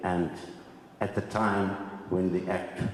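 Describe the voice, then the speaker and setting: Amid noticeable background noise and audible room echo, a man speaks at a fairly slow pace with a very deep, low pitch. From South Africa, Cape Town. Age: 70s. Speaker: land claimant. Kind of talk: testimony.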